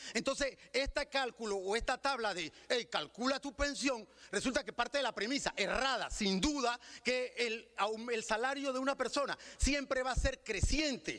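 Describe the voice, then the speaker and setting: The voice is raised and projected, with a bright, sharp tone and ordinary pitch variation. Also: man, dry, close sound with no echo. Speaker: citizen speaker at legislative hearing. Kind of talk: public testimony at legislative debate. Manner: fast.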